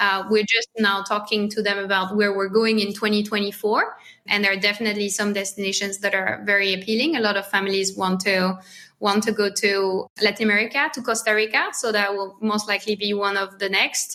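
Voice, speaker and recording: With a French accent, a woman talks fairly quickly at a medium pitch, her tone bright and sharp and her intonation flat and monotone. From France. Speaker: marketing lead at a family travel company. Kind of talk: podcast interview.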